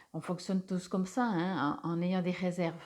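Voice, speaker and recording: The recording is very clean, with nothing in the silent background. A woman talks in a medium pitch. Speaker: tarot reader and energy healer. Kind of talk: spiritual card reading guidance. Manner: hesitant, many filler sounds.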